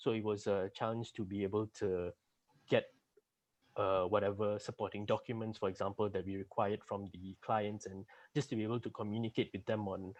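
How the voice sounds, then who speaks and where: A soft-spoken man's fairly low voice in monotone, flat intonation, over a quiet background. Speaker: junior auditor, accounting graduate. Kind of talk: interview.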